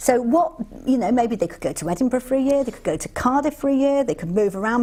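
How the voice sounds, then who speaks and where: Over noticeable background noise, a woman with a warm tone and a fairly high pitch speaks with very wide pitch swings. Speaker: TV presenter / chat show host. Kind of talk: live news review chat show hosting. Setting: TV studio. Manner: warm, humorous, teasing, conversational.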